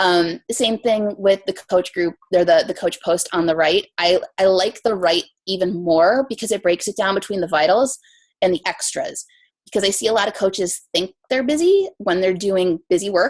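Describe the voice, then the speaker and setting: The accent is American. The pitch rises and falls in an ordinary way. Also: woman. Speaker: fitness coach. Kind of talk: training presentation. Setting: team conference call. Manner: fast.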